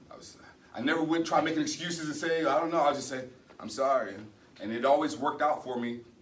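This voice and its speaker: With audible room echo, a man talks at a very fast pace, with big swings in loudness, ordinary pitch variation and long, frequent pauses. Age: 40s. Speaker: retiring military security forces member. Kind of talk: retirement ceremony speech. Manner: halting, many fillers.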